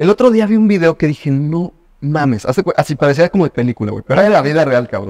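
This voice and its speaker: The speaker has lively intonation against a quiet background. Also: man. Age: 20s. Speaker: podcast host. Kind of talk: casual chat. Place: home room. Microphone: studio mic.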